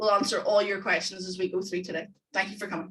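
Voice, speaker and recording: A woman with a Northern Irish accent talks at a very fast pace. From Northern Ireland. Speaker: economics tutor. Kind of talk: webinar presentation. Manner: enthusiastic.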